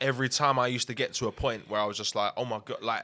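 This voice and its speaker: In a London accent, a bright, sharp tone moves at a very fast pace with fairly even intonation on a very clean recording with a silent background. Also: man. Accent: London multicultural English. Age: 20s. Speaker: musician. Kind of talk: casual interview.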